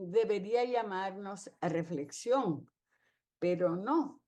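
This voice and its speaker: A woman speaks at a very slow pace. Her tone is dark and mellow, with lively intonation. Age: 80s+. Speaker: retired teacher, film forum participant. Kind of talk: discussion commentary.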